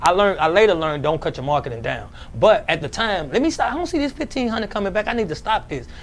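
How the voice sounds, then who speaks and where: A man talks at a very fast pace in a high pitch. His voice makes very wide pitch swings. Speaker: cleaning business owner. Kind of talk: interview. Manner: halting.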